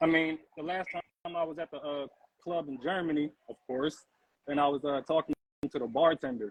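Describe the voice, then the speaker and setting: A man with an American accent, fairly high in pitch, with fairly even intonation at a moderate pace. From United States. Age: 40s. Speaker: guest, host's husband. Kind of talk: casual chat. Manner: halting.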